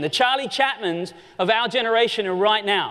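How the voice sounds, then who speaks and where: Audible room echo surrounds a man who speaks with a high pitch and lively intonation. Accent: Australian. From Australia. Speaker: conference keynote speaker. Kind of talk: keynote presentation. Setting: stage with audience. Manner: animated.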